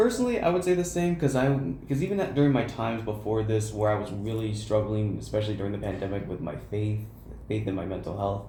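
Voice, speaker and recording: A man talks very fast with lively intonation at a fairly low pitch. Audible room echo and noticeable background noise fill the recording. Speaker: college student podcaster. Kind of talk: casual chat. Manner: stuttering.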